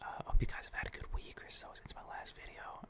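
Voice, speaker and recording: Someone whispers at a fairly quick pace. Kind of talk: ASMR gaming ramble to camera; casual talk to camera. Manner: casual, chatty.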